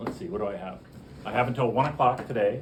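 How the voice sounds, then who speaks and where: A man speaks at a medium pitch and a fairly quick pace. Room echo is audible, and background noise is noticeable. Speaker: biology professor. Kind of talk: lecture. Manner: loud; animated.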